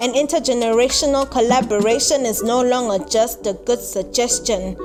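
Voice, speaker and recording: Over music in the background, a woman speaks at a high pitch and a fairly slow pace, with ordinary pitch variation. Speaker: spoken word poet. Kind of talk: spoken word poetry performance.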